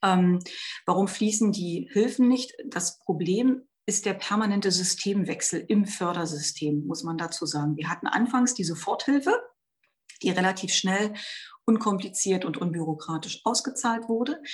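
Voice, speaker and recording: Somewhat breathy, a woman speaks at a fairly slow pace with a medium pitch and lively intonation. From Brandenburg, eastern Germany. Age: 40s. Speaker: member of parliament. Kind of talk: interview.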